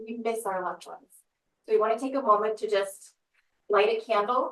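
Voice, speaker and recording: She is soft-spoken and talks at a moderate pace. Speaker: death doula, business owner. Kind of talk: presentation to a live audience; guided meditation. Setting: office space before an audience.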